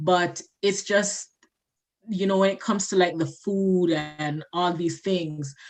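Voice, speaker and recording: A woman's fairly low voice in a Jamaican accent, very slow and with fairly even intonation. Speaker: community member. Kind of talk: casual chat.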